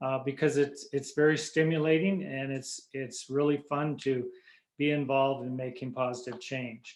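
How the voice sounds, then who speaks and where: Monotone, flat intonation marks a man's fairly high-pitched voice at a moderate pace. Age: 70s. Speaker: former local politician. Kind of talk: panel talk. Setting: video call. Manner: halting.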